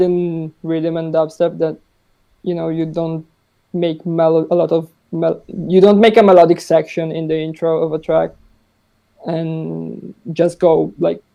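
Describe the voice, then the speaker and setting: A man talks with an Italian accent at a moderate pace. His pitch is high. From Italy. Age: 20s. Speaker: music producer. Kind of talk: podcast interview. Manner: halting.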